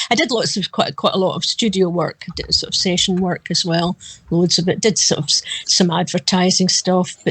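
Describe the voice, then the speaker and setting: A woman with a Glasgow accent talks at a moderate pace in a medium pitch, with fairly even intonation. Her voice is somewhat breathy, and the sound is dry and close with no echo. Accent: Scottish (Glasgow area). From Scotland, west coast near Glasgow. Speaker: backup singer. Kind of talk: interview.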